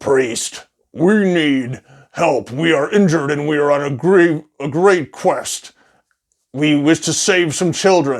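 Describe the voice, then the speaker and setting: On a very clean recording with a silent background, a man uses a put-on character voice at a fairly high pitch and a fairly slow pace. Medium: solo performance.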